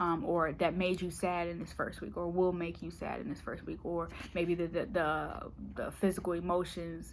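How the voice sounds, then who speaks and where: A woman speaks with a fairly low pitch and monotone, flat intonation. Audible room echo surrounds her voice. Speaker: tarot reader. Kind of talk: tarot reading monologue. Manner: fast.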